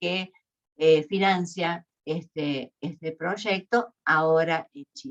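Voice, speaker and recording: A woman in an Argentine accent. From Argentina. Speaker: university researcher. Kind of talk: lecture. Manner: hesitant, many fillers.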